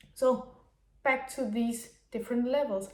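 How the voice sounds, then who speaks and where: Speaking at a very slow pace, a woman with a Danish accent has a high pitch. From Denmark. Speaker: business mentor. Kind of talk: unscripted monologue. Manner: halting.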